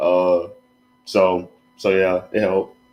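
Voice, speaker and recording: Music plays in the background as a man speaks in an American accent. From Alabama. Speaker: student designer. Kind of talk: casual interview. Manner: casual, laid-back.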